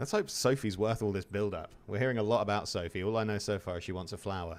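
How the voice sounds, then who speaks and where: Very fast speech from a man with an English accent, fairly low in pitch with ordinary pitch variation, recorded very cleanly against a silent background. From England. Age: 30s. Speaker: video game streamer. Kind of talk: live gameplay commentary. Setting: live stream. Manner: casual, chatty.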